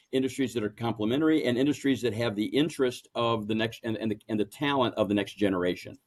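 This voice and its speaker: This man speaks at a medium pitch with an American accent. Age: 60s. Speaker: family business owner, banker. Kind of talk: interview. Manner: halting, many repetitions and fillers.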